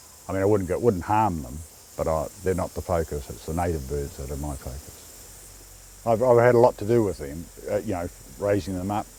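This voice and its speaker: The speaker has a New Zealand accent and lively intonation. The pace is moderate. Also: man, very deep, low pitch for a man. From New Zealand, Dunedin. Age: 60s. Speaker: conservationist and campground caretaker. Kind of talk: interview monologue. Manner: halting, with fillers and repeats.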